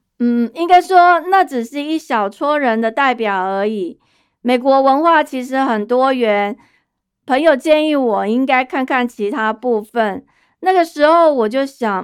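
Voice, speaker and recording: A woman's high-pitched, lively voice at a fairly slow pace, on a very clean recording with a silent background. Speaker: podcast host. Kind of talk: casual monologue.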